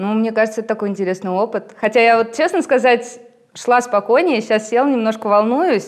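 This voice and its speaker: A woman talks fairly quickly. Her voice is fairly high, with ordinary pitch variation. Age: 30s. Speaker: tattoo artist. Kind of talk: casual chat.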